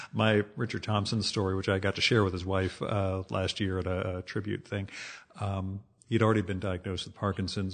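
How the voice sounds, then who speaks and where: A man's fairly low voice, a normal speaking voice, with an American accent, a moderate pace and a quiet background. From New Jersey, US. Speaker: podcast host. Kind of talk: casual interview.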